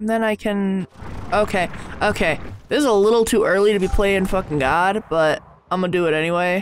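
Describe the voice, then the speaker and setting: A fairly quick pace in an American accent, dry sound with no echo, over light background noise. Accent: American, sometimes slips southern. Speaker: gaming YouTuber. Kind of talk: let's play commentary. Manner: animated. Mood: playful, self-mocking.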